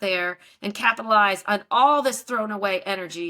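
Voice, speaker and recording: With a slight Texas accent, a woman speaks at a fairly slow pace in a fairly high pitch and a bright, sharp tone. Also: very clean recording, silent background. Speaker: investment advisor, bitcoin mining expert. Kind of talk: interview.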